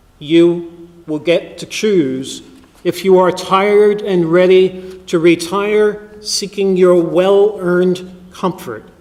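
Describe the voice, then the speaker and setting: This man speaks at a high pitch with fairly even intonation and a very slow pace. Noticeable background noise sits behind him. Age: 50s. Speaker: priest. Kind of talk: sermon.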